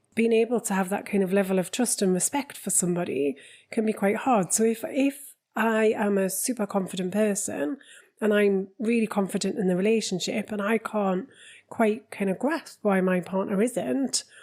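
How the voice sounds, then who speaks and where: Heard in a very clean recording with a silent background, the speaker has a Geordie accent. The pace is moderate and the pitch variation ordinary. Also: woman, medium pitch for a woman. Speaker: relationship coach. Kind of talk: podcast conversation.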